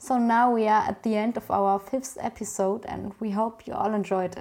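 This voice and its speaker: With a German accent, a woman speaks at a moderate pace in a medium pitch and fairly even intonation. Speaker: podcast host. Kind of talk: interview.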